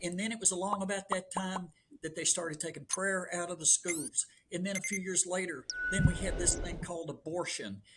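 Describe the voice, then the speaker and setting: A man speaks at a fairly quick pace in a Southern US accent, his pitch high. Noticeable background noise runs under his voice. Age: 70s. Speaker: long-distance runner. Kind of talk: casual chat. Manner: animated.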